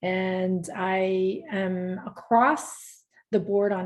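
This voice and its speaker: A somewhat breathy woman with a Spanish accent. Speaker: motivational speaker and coach. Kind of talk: podcast interview.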